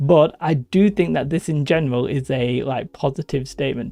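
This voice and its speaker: A man speaks in a northern English accent at a fairly high pitch, his tone dark and mellow. His intonation stays fairly even, and the sound is dry and close with no echo. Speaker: gaming YouTuber. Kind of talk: casual commentary video.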